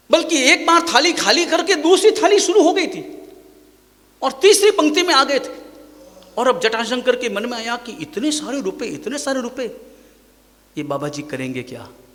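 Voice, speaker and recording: A man with an extremely high pitch speaks with lively intonation and big swings in loudness over noticeable background noise. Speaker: Jain monk preacher. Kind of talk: sermon.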